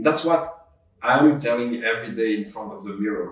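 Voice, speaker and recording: A man speaks with a French accent in a somewhat breathy voice. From Belgium. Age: 50s. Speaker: entrepreneur. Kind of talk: interview. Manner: halting.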